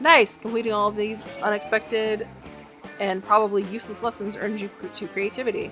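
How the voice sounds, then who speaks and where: Music plays behind a woman who speaks at a moderate pace with long, frequent pauses, her fairly high voice held to a fairly even intonation. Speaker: gaming video host. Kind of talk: reading game text aloud while playing.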